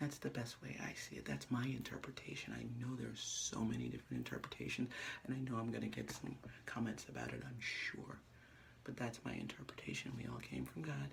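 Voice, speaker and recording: A soft-spoken man whispering at a fairly quick pace amid noticeable background noise. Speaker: vlogger. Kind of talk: casual vlog monologue. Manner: fast; soft-spoken, near whisper.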